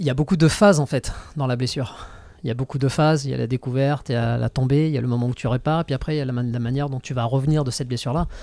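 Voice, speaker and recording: A man with a dark, mellow tone at a very fast pace, with fairly even intonation, a dry sound with no echo and a quiet background. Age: 40s. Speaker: podcast host, strength athlete; podcast host. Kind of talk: casual chat. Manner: hesitant, many fillers. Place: studio. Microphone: studio mic.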